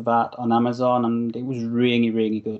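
Moderately paced speech in a British accent with monotone, flat intonation. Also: man. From United Kingdom. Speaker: radio show host. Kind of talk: casual chat.

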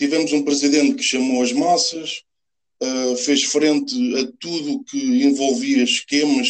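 A man speaks at a fairly slow pace, his fairly high voice swinging very widely in pitch. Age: 30s. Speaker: football fan, former goalkeeper. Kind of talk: casual interview.

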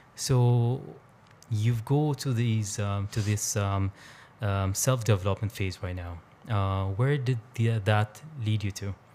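A man speaks at a very slow pace with a fairly low pitch. His intonation stays fairly even. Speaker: podcast host. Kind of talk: casual interview conversation. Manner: halting, many fillers.

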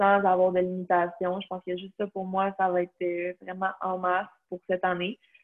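A woman's medium-pitched voice with a Quebec accent, flat monotone intonation and a moderate pace. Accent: Québécois French. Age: 20s. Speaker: nutrition student and CrossFit athlete. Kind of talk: casual interview.

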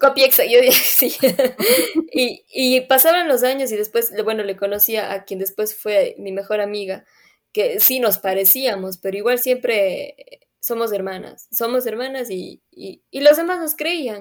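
Fairly slow speech with lively intonation and big swings in loudness. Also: woman, high pitch for a woman. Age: 20s. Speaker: podcast co-host. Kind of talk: casual chat.

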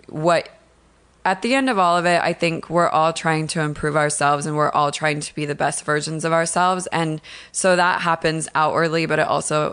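A woman's very deep, low voice in an American accent, at a moderate pace with fairly even intonation, over a quiet background. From Washington State, US. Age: 30s. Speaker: makeup artist. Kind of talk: casual chat. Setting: home.

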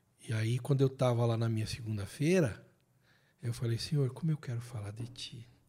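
At a moderate pace, the voice sounds dark, mellow and somewhat breathy, with ordinary pitch variation. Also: man, long, frequent pauses. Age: 50s. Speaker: theologian and writer. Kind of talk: casual chat. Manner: animated.

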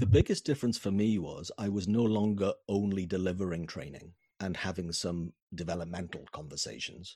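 A man's very deep, low voice with a Welsh accent, fairly quick pace and ordinary pitch variation on a very clean recording with a silent background. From Wales. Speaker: business consultant. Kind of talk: interview. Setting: home office.

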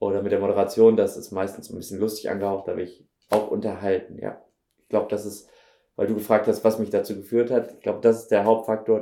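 A man talks at a fairly quick pace in a flat monotone. His fairly low voice has a dark, mellow tone. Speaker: actor. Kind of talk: casual chat. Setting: video interview, studio.

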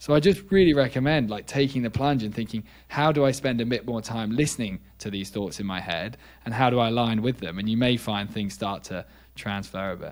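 A man speaks at a fairly quick pace. His medium-pitched voice has lively intonation. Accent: British. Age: 20s. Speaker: neuroscientist. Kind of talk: casual interview.

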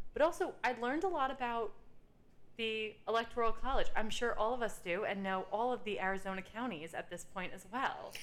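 A woman talks in an ordinary speaking voice at a fairly quick pace. Her pitch is fairly high and her intonation lively. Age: 30s. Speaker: podcast co-host. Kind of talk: casual chat. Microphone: echo on recording.

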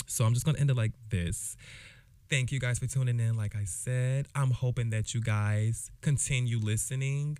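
A man with an American accent talks at a moderate pace in a medium pitch, his tone dark and mellow and his intonation fairly even. The recording is very clean, with a silent background. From Jacksonville, Florida. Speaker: podcast host. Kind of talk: casual solo monologue. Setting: home recording, alone. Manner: halting, with many fillers and restarts.

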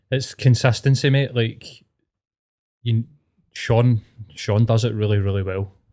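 Speaking with a Scottish accent, a man has a medium pitch and a dark, mellow tone at a moderate pace. The sound is dry and close with no echo, over a quiet background. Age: 40s. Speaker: podcast guest. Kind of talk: casual chat.

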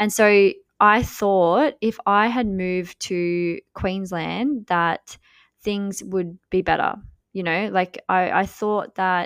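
A woman speaks at a medium pitch, recorded dry and close with no echo. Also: very clean recording, silent background. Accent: Australian. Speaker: podcast host and business coach. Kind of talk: casual monologue.

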